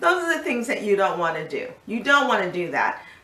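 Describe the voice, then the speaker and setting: A woman speaks with audible room echo. Background noise is noticeable too. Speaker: life coach, video host. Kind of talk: casual health talk to camera.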